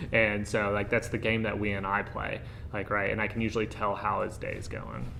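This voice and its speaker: Audible room echo around fairly quick talk, its pitch varying in an ordinary way. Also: man, fairly low pitch for a man. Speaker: air force intelligence officer. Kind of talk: panel discussion. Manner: loud.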